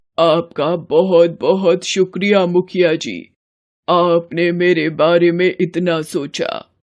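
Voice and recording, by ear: A cartoonish character voice at a middle pitch, speaking very slowly.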